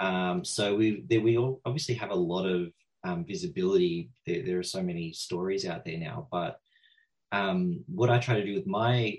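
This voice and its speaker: With an Australian accent, a man talks at a fairly slow pace in a fairly low pitch, using ordinary pitch variation. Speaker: horror writer. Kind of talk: panel discussion on video call.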